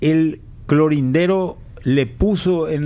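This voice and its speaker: This voice belongs to a man. The room adds an audible echo. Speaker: economist, former finance minister. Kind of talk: radio interview.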